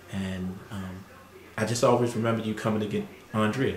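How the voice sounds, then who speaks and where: A man's fairly low voice carries audible room echo and light background noise. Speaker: family interviewer. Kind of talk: casual family interview. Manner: warm, hesitant with fillers. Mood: warm, fond, reminiscing. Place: home room.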